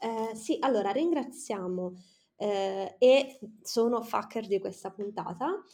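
Over a very clean recording and silent background, a woman with a fairly high pitch, a dark, mellow tone and lively intonation speaks at a very slow pace. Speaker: podcast co-host. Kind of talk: casual chat.

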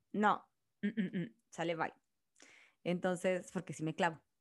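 An animated woman on a very clean recording with a silent background. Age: 30s. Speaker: podcast host. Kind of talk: casual chat.

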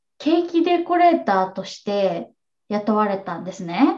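With a dark, mellow tone and a somewhat breathy quality, a woman talks at a fairly high pitch using very wide pitch swings. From Japan, Kanagawa. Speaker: online English teacher. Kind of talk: interview.

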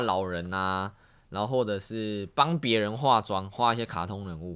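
A man with a fairly low pitch. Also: very clean recording, silent background. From Taiwan. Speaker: street dancer and exchange student. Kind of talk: casual chat.

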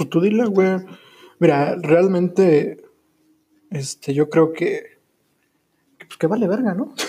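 A man with a Mexican accent and a high pitch speaks very slowly with long, frequent pauses. His loudness swings widely while his pitch variation stays ordinary. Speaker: podcast host and streamer. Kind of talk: casual chat. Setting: live stream.

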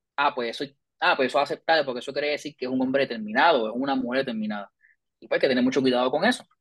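A man rattles off his words at a very fast pace, his medium-pitched voice keeping a fairly even intonation. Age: 30s. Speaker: psychology professor and researcher. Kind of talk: interview.

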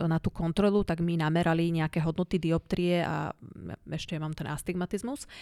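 A woman speaks at a moderate pace, her pitch fairly low with ordinary variation, in a plain, everyday voice. The recording is very clean and dry, close with no echo and a silent background. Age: 40s. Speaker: cancer survivor. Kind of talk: interview.

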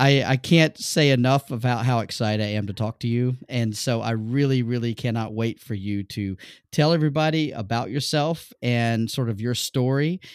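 A man with a plain, everyday voice talks at medium pitch and a moderate pace, with ordinary pitch variation and hardly any pauses. The very clean recording has a silent background and a dry, close sound with no echo. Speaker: podcast host and design educator. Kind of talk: casual interview.

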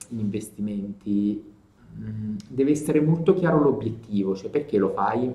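A man speaks at a fairly slow pace, his medium-pitched voice somewhat breathy. His intonation is lively. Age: 30s. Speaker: journalist and video storyteller. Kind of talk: casual interview.

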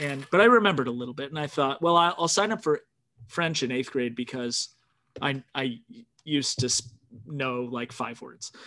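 Against a quiet background, a man talks with a fairly high pitch, ordinary pitch variation and a bright, sharp tone. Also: moderate pace. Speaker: podcast host. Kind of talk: casual chat. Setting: video call.

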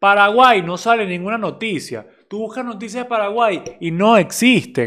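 A man with a Venezuelan accent speaks at a high pitch and moderate pace with a bright, sharp tone, ordinary pitch variation, big swings in loudness and hardly any pauses. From Venezuela, Barquisimeto. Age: 20s. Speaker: podcast host. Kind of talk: casual monologue.

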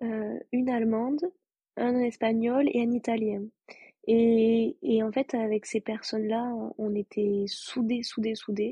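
Fairly high in pitch, a woman speaks at a very slow pace with fairly even intonation. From France, Toulouse. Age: 20s. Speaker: former volunteer. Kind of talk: casual interview.

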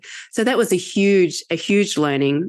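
A woman with an Australian accent, ordinary pitch variation, and a quiet background. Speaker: sales enablement leader. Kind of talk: casual interview conversation.

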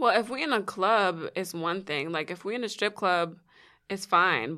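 On a very clean recording with total silence behind her, a woman speaks. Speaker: podcast co-host. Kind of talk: casual chat. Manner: laughs often while talking; animated.

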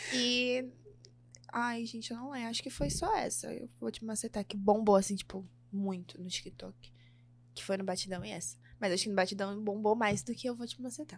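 Somewhat breathy and at medium pitch, a woman talks with lively intonation and big swings in loudness. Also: moderate pace. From São Paulo, Brazil. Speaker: funk singer. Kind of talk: casual interview.

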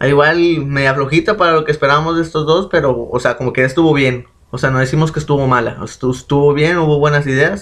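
A man's normal speaking voice, fairly high in pitch, at a fairly quick pace with fairly even intonation. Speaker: podcast co-host. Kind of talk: casual chat.

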